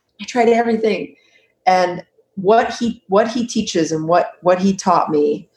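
With an American accent, a woman speaks fairly slowly at a medium pitch and ordinary pitch variation. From California. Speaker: anxiety coach. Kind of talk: interview.

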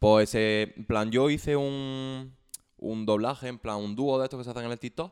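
A normal speaking voice, this man's sits at a medium pitch and moves at a moderate pace with fairly even intonation. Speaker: musician. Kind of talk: casual chat.

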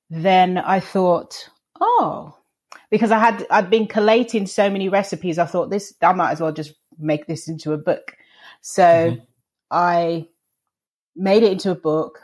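A woman in a London accent at a medium pitch, with ordinary pitch variation, a moderate pace and long, frequent pauses, on a very clean recording with a silent background. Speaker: vegan chef and TV presenter. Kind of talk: interview.

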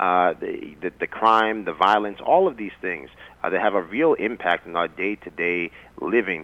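A man speaks with an American accent in an unremarkable speaking voice. His pitch is fairly low with ordinary variation, at a moderate pace. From Yonkers, New York. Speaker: political candidate. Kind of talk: interview.

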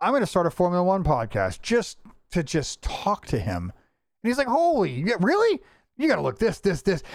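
Heard on a very clean recording with a silent background, a man speaks in an animated tone at very even loudness. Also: moderate pace. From Florida, US. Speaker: podcast host. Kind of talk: casual chat.

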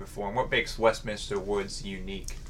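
Noticeable background noise sits behind the recording. A man talks with an American accent. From Missouri. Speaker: podcast host. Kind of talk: casual chat.

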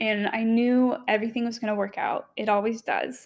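Someone with an American accent speaks in an unremarkable speaking voice at a moderate pace, recorded very cleanly against a silent background. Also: woman. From US South, Knoxville, Tennessee. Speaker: podcast host. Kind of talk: solo monologue, personal story.

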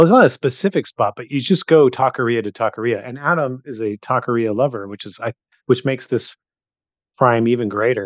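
An unremarkable speaking voice with ordinary pitch variation comes through with a dry, close sound, no echo, and a quiet background. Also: man, medium pitch for a man, fairly quick pace, big swings in loudness. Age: 40s. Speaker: podcast host. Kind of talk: casual chat.

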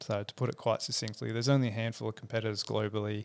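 A man speaks at a medium pitch with an Australian accent. The recording is very clean, with a silent background. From Perth, Western Australia. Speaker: engineer and motorcycle company founder. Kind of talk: interview. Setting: studio.

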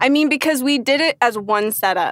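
With an American accent, a woman with an unremarkable speaking voice talks at a moderate pace with lively intonation. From US, Northern Virginia. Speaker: actor and acting teacher. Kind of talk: casual interview chat.

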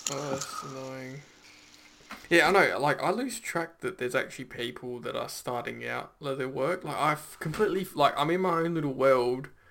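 A man's voice, pitched fairly high with ordinary variation, moves at a moderate pace while noticeable background noise runs underneath. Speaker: podcast host. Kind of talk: casual interview chat.

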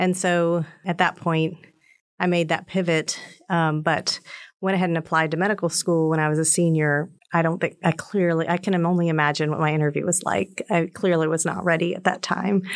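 With an American accent, a woman with an unremarkable speaking voice talks at a fairly quick pace, her pitch fairly low and her intonation fairly even, in a very clean recording with a silent background. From North Carolina. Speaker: physician and professor. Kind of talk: casual interview.

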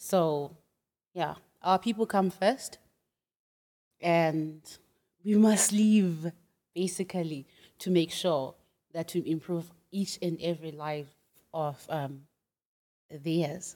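A woman with a Zimbabwean accent speaks at a very slow pace, with long, frequent pauses. Her voice is fairly low, with a dark, mellow tone. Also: ordinary pitch variation. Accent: Zimbabwean (Ndebele) English. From Zimbabwe, Bulawayo. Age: young. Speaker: entrepreneur and graduate student. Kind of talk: casual interview. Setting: studio.

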